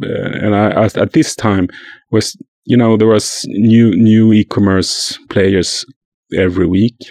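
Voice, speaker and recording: A man speaks at a fairly slow pace with long, frequent pauses and fairly even intonation. His tone is dark and mellow, his loudness very even, and the sound dry and close with no echo. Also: fairly low pitch for a man. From Sweden. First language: Swedish. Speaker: journalist and podcaster. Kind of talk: casual interview. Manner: halting, repeats words.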